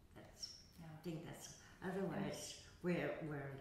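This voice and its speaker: Speaking very slowly in a very deep, low pitch, a woman keeps her intonation fairly even, with strong room echo and light background noise. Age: 80s+. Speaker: yoga teacher. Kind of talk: interview answer. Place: hall.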